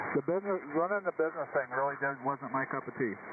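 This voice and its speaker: There is noticeable background noise. Through it, a man speaks with ordinary pitch variation. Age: 60s. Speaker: ham radio operator. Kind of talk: casual chat. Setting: radio net.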